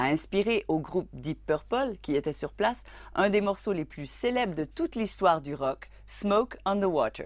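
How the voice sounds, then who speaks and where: Lively intonation and vocal fry mark this moderately paced voice on a very clean recording with a silent background. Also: woman. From Acadia, New Brunswick, Canada. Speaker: radio journalist. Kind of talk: documentary narration.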